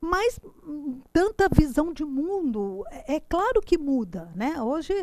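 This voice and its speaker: At a fairly slow pace, a woman's voice makes very wide pitch swings in a very clean recording with a silent background. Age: 60s. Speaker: teacher. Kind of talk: lecture. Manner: halting, frequent repetitions.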